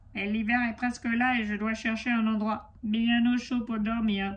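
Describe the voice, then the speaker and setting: A woman's put-on character voice, fairly high in pitch, monotone and flat, at a moderate pace. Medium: read story.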